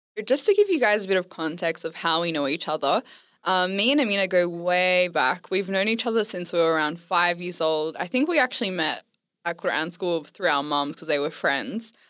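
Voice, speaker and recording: Speaking at a fairly quick pace with an Australian accent, a woman has a bright, sharp tone, a fairly low pitch and ordinary pitch variation on a very clean recording with a silent background. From Western Sydney, Australia. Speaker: podcast host. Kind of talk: casual chat.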